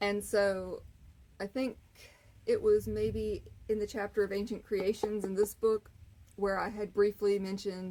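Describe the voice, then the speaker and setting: A woman speaks at a fairly slow pace with long, frequent pauses. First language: not English. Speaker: author and channel owner. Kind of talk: casual vlog monologue. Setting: outdoors on front porch. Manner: halting, many fillers.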